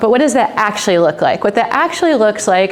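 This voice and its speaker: Noticeable background noise and audible room echo surround the speaker. She is a woman with an American accent. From United States. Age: 40s. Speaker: nonprofit founder. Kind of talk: conference talk. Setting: stage with live audience. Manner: casual, filler-heavy; projecting loudly.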